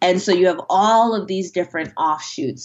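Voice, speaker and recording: An unremarkable speaking voice carries ordinary pitch variation throughout. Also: woman. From US, Nigerian immigrant family. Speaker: fantasy author. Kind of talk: interview.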